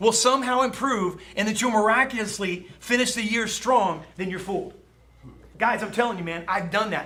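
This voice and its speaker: Amid noticeable background noise and audible room echo, a man speaks in a raised, projected voice with ordinary pitch variation. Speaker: sales trainer. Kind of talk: motivational talk. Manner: fast; animated.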